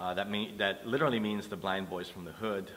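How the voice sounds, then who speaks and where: Against audible room echo, a man speaks in a fairly low voice with fairly even intonation. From New York City. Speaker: blind musician. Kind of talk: interview testimony. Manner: hesitant, many fillers.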